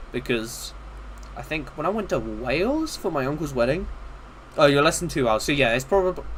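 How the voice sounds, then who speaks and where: A man with a southern English accent, long, frequent pauses, and audible room echo. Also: fairly quick pace. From southeast England, Kent. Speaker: livestreamer, modder. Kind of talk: casual livestream chat. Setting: live stream. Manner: halting.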